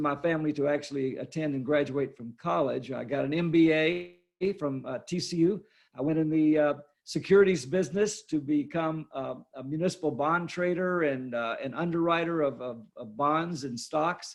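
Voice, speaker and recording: A man with a Texan accent speaks at a fairly high pitch. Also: ordinary pitch variation, moderate pace. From Texas, Fort Worth. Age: 70s. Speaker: art dealer and author. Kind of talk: interview.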